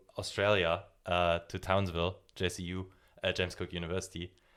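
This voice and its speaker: A man's very deep, low voice with monotone, flat intonation. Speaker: podcast host, marine biodiversity researcher. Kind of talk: interview (being interviewed). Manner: hesitant, many fillers.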